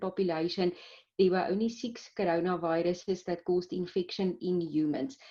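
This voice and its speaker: A woman with a Pretoria accent speaks in a dark, mellow tone. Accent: Pretoria South African. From South Africa, Pretoria. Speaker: clinical microbiologist. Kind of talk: interview. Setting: video call.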